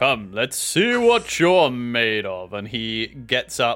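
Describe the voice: Plain reading aloud is all the clip contains.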